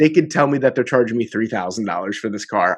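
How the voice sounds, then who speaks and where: A man with a plain, everyday voice, fairly low in pitch, with ordinary pitch variation against a quiet background. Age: 20s. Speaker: podcast host. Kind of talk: casual chat.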